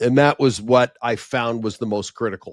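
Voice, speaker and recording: A plain, everyday voice speaks at a moderate pace with fairly even intonation, recorded dry and close with no echo on a very clean track with a silent background. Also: man. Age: 60s. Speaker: event producer and professional speaker. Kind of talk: podcast interview.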